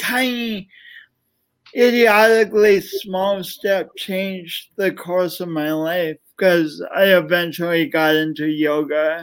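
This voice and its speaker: A man talks at a very slow pace with ordinary pitch variation in a very clean recording with a silent background. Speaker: motivational speaker and author. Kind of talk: casual interview. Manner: halting, repeats words.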